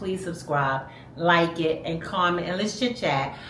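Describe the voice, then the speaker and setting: A woman talks at a moderate speed, and the room's echo can be heard. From New York, Brooklyn. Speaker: vlogger. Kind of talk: casual chat. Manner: animated.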